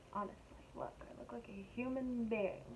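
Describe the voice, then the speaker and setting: A woman speaks with an American accent at a moderate pace. Noticeable background noise is present. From US, California. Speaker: makeup vlogger. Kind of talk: makeup tutorial. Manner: animated.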